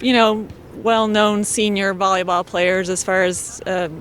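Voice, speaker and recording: A woman talks at medium pitch with noticeable background noise in the recording. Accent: American. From Colorado. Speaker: senior volleyball player. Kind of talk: interview.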